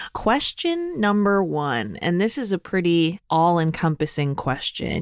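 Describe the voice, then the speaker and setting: This is a woman speaking. Her pace is moderate. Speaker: podcast co-host. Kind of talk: casual interview chat.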